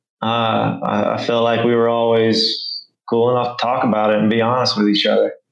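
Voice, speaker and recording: This voice carries a Southern US accent. Its pace is fairly slow. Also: man. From rural Arkansas. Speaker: Marine Corps veteran. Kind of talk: casual chat.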